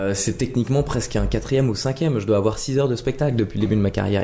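Over noticeable background noise, a man with a medium pitch talks at a very fast pace with ordinary pitch variation. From Lorraine, France (Nancy). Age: 30s. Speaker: comedian. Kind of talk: casual interview. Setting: at home.

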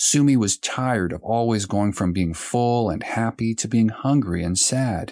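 A man speaks at a fairly slow pace with a fairly low pitch, ordinary pitch variation and an unremarkable speaking voice. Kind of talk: audiobook narration of a children's story. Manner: gentle, even storyteller pacing, clear and simple for young children.

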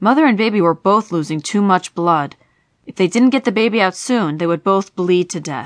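Behind an unforced reading voice, the background stays quiet.

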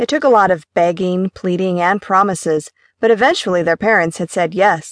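The background is quiet as someone reads aloud plainly.

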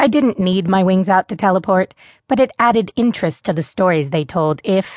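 A natural voice reads a passage out loud.

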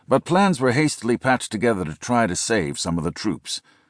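A man speaks at a moderate pace in a solemn, dramatic tone, with vocal fry and very wide pitch swings. The sound is dry and close with no echo, over a quiet background. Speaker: audiobook narrator. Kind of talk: scripted audiobook narration of military history, dramatic. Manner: grave, solemn, dramatic and measured; formal, steady pace building tension.

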